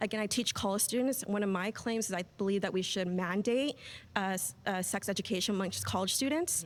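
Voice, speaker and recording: The voice moves at a fairly quick pace, with ordinary pitch variation and very even loudness. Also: woman, medium pitch for a woman, very clean recording, silent background. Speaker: sociology educator in debate. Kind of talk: debate argument. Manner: halting; gentle, not loud.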